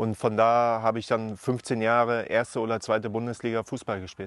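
The man's voice comes across as a dry sound with no echo. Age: 40s. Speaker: former professional footballer. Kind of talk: interview. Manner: hesitant, many filler sounds. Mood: calm, reflective. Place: open country. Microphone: lapel.

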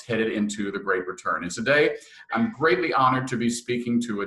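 Audible room echo fills the space. A man speaks within it at a moderate pace. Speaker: interviewer. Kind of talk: interview questions. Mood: warm, upbeat. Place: home room. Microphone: webcam.

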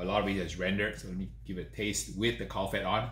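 Speaking very fast, a man's voice comes with clear echo from the room. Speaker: host. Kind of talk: tasting review commentary. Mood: enthusiastic, pleased. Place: home room.

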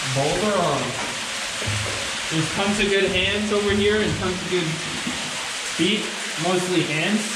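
A man at a fairly slow pace, with audible room echo and music in the background. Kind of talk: encouraging instructions while climbing. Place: tunnel cave.

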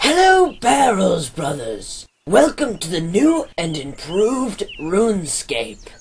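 In a put-on character voice at a middle pitch, the speaker goes at a fairly slow pace with hardly any pauses. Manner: gloating, grandiose.

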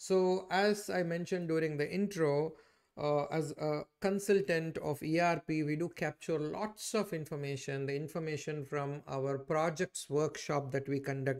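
The man's pitch varies in an ordinary way, with a quiet background behind him. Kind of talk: tutorial. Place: home room.

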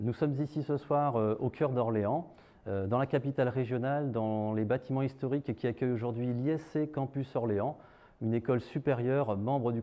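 Male speech at a moderate pace with fairly even intonation. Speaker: event host. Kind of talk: formal event opening speech. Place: hall. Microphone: lapel.

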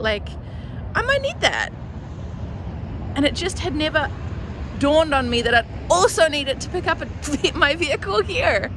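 Noticeable noise sits in the background. The sound is dry with no echo. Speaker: van life vlogger. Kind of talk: casual vlog chat. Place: street. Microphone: phone near.

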